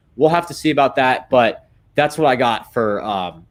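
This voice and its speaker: A man is speaking. His pace is very fast. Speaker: sports podcast host. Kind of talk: casual chat. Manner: stuttering.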